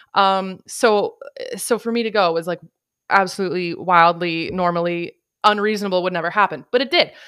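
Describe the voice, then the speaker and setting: On a very clean recording with a silent background, a woman talks fairly quickly in an animated tone at a medium pitch with ordinary pitch variation. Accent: Canadian. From Canada. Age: 30s. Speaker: podcast host. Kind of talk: casual chat.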